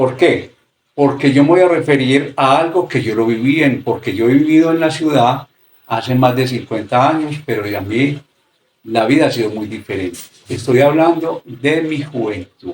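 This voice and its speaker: This man has a plain, everyday voice, fairly high in pitch. He talks at a moderate pace with ordinary pitch variation. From rural area. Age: 60s. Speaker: interviewee. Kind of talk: interview.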